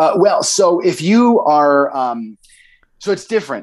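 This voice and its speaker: Lively intonation marks this man's American accent and unremarkable speaking voice. He talks at a fairly slow pace. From Idaho (Boise). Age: 30s. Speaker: comedian and former pro wrestler. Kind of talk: casual interview chat. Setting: video call.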